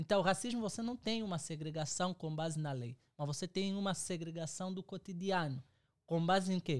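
At a moderate pace, a man with a high voice talks with ordinary pitch variation. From Angola. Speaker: theologian and doctoral student. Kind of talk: book discussion.

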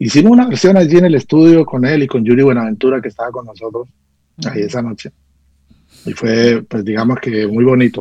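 This man's dark, mellow tone moves at a fairly quick pace, with ordinary pitch variation. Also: medium pitch for a man, big swings in loudness. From Colombia, Caldas (coffee region). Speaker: music producer and arranger. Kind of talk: radio interview. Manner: halting, with frequent fillers and repetitions. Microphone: connection dropped out.

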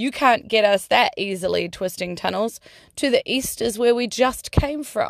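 An animated voice in a New Zealand accent, with vocal fry and ordinary pitch variation, comes through in a very clean recording with a silent background. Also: woman, fairly high pitch for a woman, moderate pace. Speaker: podcast host and singer. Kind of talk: casual podcast monologue. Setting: in a car.

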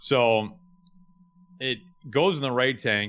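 The speaker is a man. His intonation is fairly even. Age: 30s. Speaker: baseball play-by-play broadcaster. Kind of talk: casual interview. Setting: remote call.

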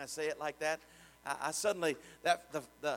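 Here a man talks with an American accent. He keeps a moderate pace. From Richmond, Indiana. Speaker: pastor. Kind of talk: sermon, preacher in full flow with call-and-response. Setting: church with congregation. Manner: fervent, rising, exhorting the congregation; repetitive, rhythmic praise with shouted amens.

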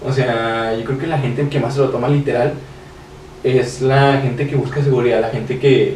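The speech runs at a fairly quick pace in a flat monotone. Noticeable background noise and audible room echo accompany it. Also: man. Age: 20s. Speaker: young entrepreneur. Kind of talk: casual chat.

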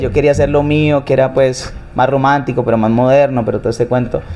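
Over noticeable background noise, a man with a fairly high pitch speaks at a very fast pace. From Colombia, Cali. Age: 30s. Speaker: singer. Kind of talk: interview conversation. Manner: halting, with frequent repetitions.

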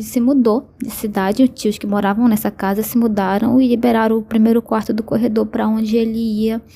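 Monotone and flat, a woman with a fairly high pitch speaks at a moderate pace. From Brazil, Belém do Pará. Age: 20s. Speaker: listener sharing a story. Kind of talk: personal testimony.

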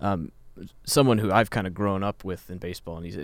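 On a very clean recording with a silent background, a man with an American accent talks at a very fast pace in a very deep, low voice with vocal fry. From Kansas. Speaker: baseball fan guest. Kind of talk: casual sports chat.

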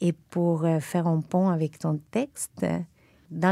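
A woman's fairly low-pitched voice has a dark, mellow tone on a very clean recording with a silent background. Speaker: literary magazine co-editor. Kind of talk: casual interview conversation.

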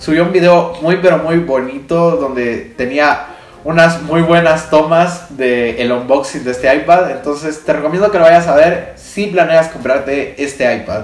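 Over noticeable background noise and audible room echo, a man speaks at a fairly slow pace with a fairly high pitch. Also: ordinary pitch variation. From Guatemala. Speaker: tech podcaster and video creator. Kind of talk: casual solo monologue. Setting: home studio on camera.

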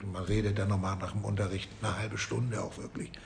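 A man speaks at a very fast pace amid noticeable background noise and audible room echo. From northern Germany, Flensburg. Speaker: music and geography teacher. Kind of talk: interview.

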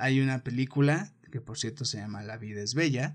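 A somewhat breathy man at medium pitch, with an animated tone and a moderate pace. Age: 20s. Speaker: podcast host. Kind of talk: casual monologue.

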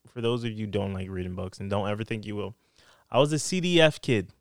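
A man with an American accent speaks at a very fast pace in a medium pitch, with very wide pitch swings, on a very clean recording with a silent background and a dry, close sound with no echo. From US East Coast. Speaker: podcast guest. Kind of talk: casual chat.

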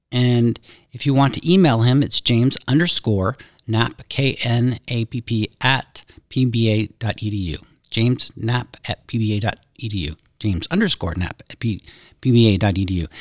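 Here is a normal speaking voice with an American accent, at a moderate pace. The sound is dry and close, with no echo. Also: man, medium pitch for a man, ordinary pitch variation. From US South, Pensacola, Florida. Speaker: university dean and podcast host. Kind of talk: interview. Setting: studio.

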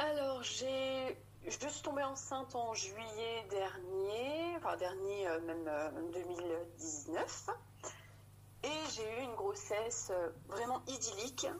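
A woman with a fairly high pitch speaks at a very slow pace, with long, frequent pauses and very even loudness. Her pitch swings very widely, and there is audible room echo. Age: 30s. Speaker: mother sharing birth story. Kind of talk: testimony.

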